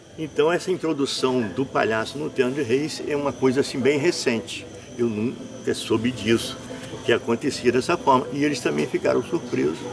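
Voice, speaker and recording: There is noticeable background noise as a man talks at a moderate pace. His pitch is medium, with ordinary variation. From Brazil, northern Rio de Janeiro state (São Fidélis). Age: 60s. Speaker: folk tradition master and performer. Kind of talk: interview. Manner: halting, with repeated words.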